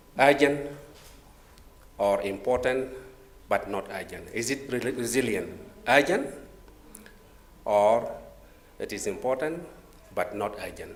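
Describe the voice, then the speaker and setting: A man at medium pitch speaks at a fairly slow pace, leaving long, frequent pauses, with ordinary pitch variation and big swings in loudness. Audible room echo and noticeable background noise fill the recording. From South Sudan. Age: 50s. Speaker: government disaster management official, panelist. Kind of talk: conference presentation. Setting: conference room with audience. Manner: halting, many fillers.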